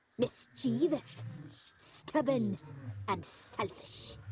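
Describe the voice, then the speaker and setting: This is a put-on character voice at a middle pitch. The delivery is very slow. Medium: video game. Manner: imperious, archaic.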